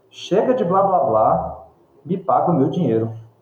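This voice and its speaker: Audible room echo carries a somewhat breathy male voice. He uses lively intonation at a moderate pace. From Brazil. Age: 30s. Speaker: film critic, curator and professor. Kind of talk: interview conversation about films.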